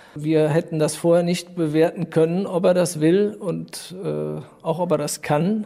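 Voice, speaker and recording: Through noticeable background noise, a man talks at a fairly slow pace in a high-pitched, monotone voice with flat intonation. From Rhineland, Germany (Düren). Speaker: volleyball club co-owner. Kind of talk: interview.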